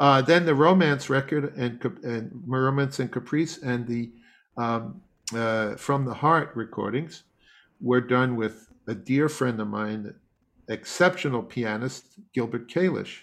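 A man with an ordinary speaking voice, medium in pitch with ordinary pitch variation, at a fairly slow pace against a quiet background. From US Northeast (Long Island, New York). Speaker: classical bassoonist and music professor. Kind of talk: interview.

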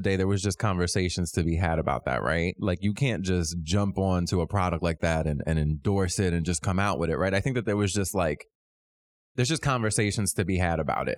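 A man with an American accent talks at a very fast pace in a very deep, low pitch, keeping a very even loudness. The recording is very clean, with a silent background. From Philadelphia. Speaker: new podcast co-host. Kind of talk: casual chat.

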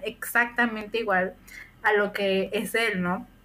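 A woman with an unremarkable speaking voice, fairly high in pitch, with ordinary pitch variation. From Mexico, Puebla. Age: 20s. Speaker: podcast co-host. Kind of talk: casual chat.

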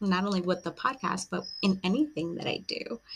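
A woman's unremarkable speaking voice at medium pitch and a fairly slow pace. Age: 30s. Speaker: podcast host. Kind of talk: solo monologue. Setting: home recording with a glass of wine.

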